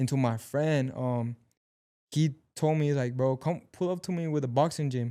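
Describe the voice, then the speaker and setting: In a Mexican accent, a man with a fairly high, dark, mellow voice speaks at a moderate pace and with fairly even intonation on a very clean recording with a silent background. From Mexico. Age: 20s. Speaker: actor and amateur boxer. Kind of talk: casual chat.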